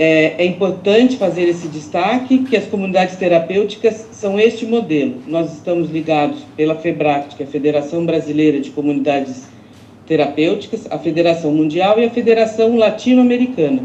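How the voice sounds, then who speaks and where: Speaking with lively intonation at a fairly low pitch, a woman keeps a moderate pace with hardly any pauses. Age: 60s. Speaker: social institution director. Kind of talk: public consultation statement. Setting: video call. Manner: hesitant fillers.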